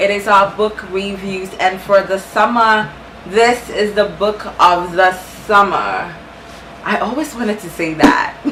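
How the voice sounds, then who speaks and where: Speaking at a fairly slow pace with a Ghanaian accent, a woman has a medium pitch, ordinary pitch variation and an animated tone, with audible room echo and noticeable background noise. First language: Ghanaian language (English is her third). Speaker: booktuber. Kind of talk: book review vlog.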